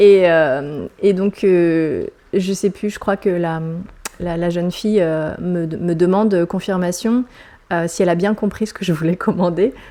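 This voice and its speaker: The woman's voice sits fairly low, with a dark, mellow tone and fairly even intonation. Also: fairly slow pace. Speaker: vlogger. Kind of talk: personal vlog monologue. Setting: at home. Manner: hesitant, many fillers.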